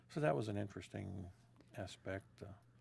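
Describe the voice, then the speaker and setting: This man has a normal speaking voice with an American accent. He talks at a moderate pace with a fairly low pitch. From West Virginia, Wheeling (Ohio Valley). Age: 60s. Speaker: interviewee, father. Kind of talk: oral history interview. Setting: inside a small Airstream trailer.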